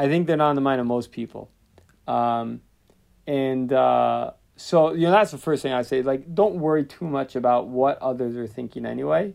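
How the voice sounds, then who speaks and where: With a normal speaking voice, a man talks at medium pitch. He keeps a moderate pace and ordinary pitch variation. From US Northeast. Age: 20s. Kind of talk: casual chat.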